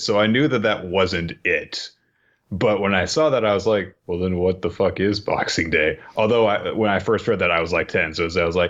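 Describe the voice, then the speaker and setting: An unremarkable speaking voice talks at a moderate pace with very even loudness. The background is quiet. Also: man, fairly low pitch for a man, ordinary pitch variation. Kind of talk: casual, profane.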